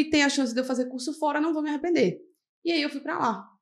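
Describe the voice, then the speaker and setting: The woman's voice sits high in pitch. Her tone is animated. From Serra Talhada, Pernambuco, Brazil. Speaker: medical resident in urology. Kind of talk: podcast interview, casual chat.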